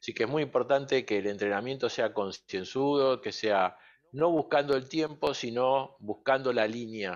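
A man with medium pitch and ordinary pitch variation talks at a moderate pace in a normal speaking voice. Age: 50s. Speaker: sim racing coach. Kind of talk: online masterclass lecture.

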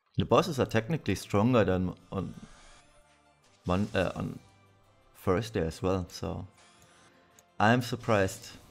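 A man talks with long, frequent pauses. Music plays in the background. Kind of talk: game guide commentary.

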